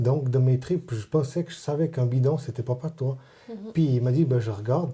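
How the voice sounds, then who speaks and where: With a dark, mellow tone and a somewhat breathy quality, a man speaks at medium pitch and a fairly quick pace, his pitch varying in an ordinary way. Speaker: Vaud patois learner. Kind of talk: interview answer. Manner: casual, conversational.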